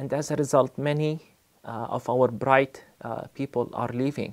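A man with an Arabic accent, medium pitch and ordinary pitch variation, speaking at a fairly slow pace against a quiet background. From Palestine (Bethlehem); Palestine. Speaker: pastor and theology college dean. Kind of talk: recorded testimony to camera; interview answer. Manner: measured, with frequent fillers. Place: studio.

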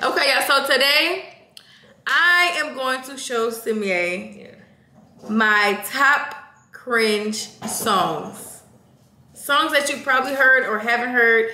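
A woman's raised, projected voice at a very slow pace, with long, frequent pauses, big swings in loudness, audible room echo and light background noise. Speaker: channel host. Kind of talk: casual vlog chat. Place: kitchen. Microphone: camera far.

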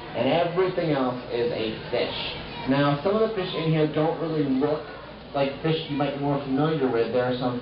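Noticeable background noise is present throughout. A man talks amid audible room echo. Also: ordinary pitch variation, moderate pace. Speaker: aquarium guide. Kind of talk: educational talk to visitors. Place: hall.

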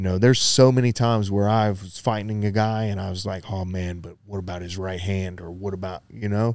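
In a plain, everyday voice, a man talks fairly quickly with hardly any pauses, his fairly low pitch held in fairly even intonation while his loudness swings widely. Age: 40s. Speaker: former pro fighter, jiu-jitsu coach. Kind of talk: casual chat. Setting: on the mats at a martial arts gym.

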